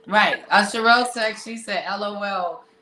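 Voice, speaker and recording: A woman with an American accent talks fairly slowly at a fairly high pitch, with noticeable background noise and audible room echo. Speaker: podcast host. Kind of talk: casual interview chat. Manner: animated.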